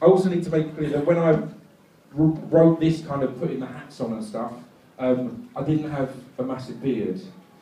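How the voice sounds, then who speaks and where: A man with a fairly high pitch, ordinary pitch variation and moderate pace over noticeable background noise. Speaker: spoken word poet. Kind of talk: casual talk to live audience. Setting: live stage show.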